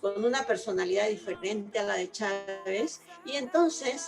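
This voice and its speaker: A woman at a fairly high pitch and a fairly slow pace, with music in the background. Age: 60s. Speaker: retired mathematician and activist. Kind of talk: interview. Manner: animated.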